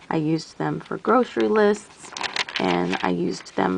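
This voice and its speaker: Somewhat slowly, the words come through background noise that is easy to hear. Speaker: teacher and planner YouTuber. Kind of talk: casual tutorial show-and-tell. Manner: halting, searching for words.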